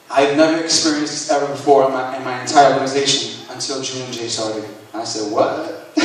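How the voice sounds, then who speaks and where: Fairly high in pitch, a man talks at a fairly quick pace. Audible room echo and noticeable background noise surround him. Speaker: network marketing speaker. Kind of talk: motivational testimony. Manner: animated.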